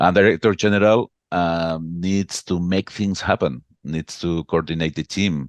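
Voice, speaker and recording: Dry and close with no echo over a quiet background, a man with a very deep, low pitch and ordinary pitch variation talks fairly slowly with hardly any pauses. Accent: Catalan. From Catalonia, Spain (Barcelona). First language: Catalan. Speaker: association executive. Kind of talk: interview. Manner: halting, repeats words.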